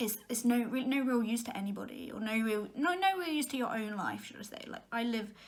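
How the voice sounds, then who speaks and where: Fairly high-pitched woman's voice at a fairly quick pace, with hardly any pauses and big swings in loudness, audible room echo and noticeable background noise. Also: ordinary pitch variation. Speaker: vlogger. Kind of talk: casual monologue. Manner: fast.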